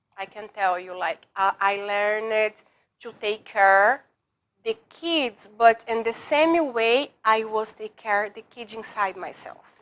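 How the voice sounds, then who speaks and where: A woman with a Portuguese accent at a very slow pace, her fairly high voice showing ordinary pitch variation, in a very clean recording with a silent background. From Brazil. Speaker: former attorney, public personality. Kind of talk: interview. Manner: halting, broken English.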